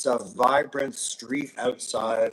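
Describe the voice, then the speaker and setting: A man talks at a medium pitch. Noticeable background noise runs beneath him. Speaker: live show host. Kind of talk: live stream chat. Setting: street level studio.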